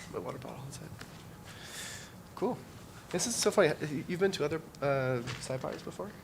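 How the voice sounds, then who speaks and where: There is audible room echo as a man with a Canadian accent talks. His pace is fairly quick and his intonation lively. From Canada (Ontario). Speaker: workshop instructor. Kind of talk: casual chat. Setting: conference. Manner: halting.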